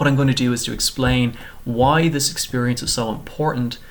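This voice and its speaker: Here a man with an Irish accent talks at a medium pitch and a moderate pace, his intonation fairly even. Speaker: PhD student. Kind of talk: short research presentation. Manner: scripted, clear.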